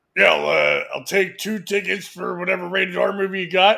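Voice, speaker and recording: A man's put-on character voice, high-pitched, raised and projected, at a moderate pace. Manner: feigning adult maturity.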